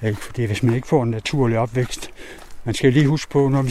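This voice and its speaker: A man talks at a medium pitch with ordinary pitch variation. Noticeable background noise is audible. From East Jutland, Denmark. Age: 60s. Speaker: wolf protection activist. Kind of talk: interview.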